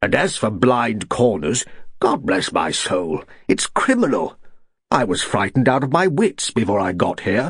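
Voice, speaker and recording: A booming put-on character voice from a man at medium pitch, with very wide pitch swings and a moderate pace. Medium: read story. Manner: booming, bluff.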